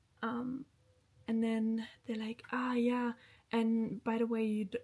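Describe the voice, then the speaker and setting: Fairly slow and fairly high in pitch, a woman's voice carries a dark, mellow tone. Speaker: lifestyle vlogger. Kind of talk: casual vlog talk to camera.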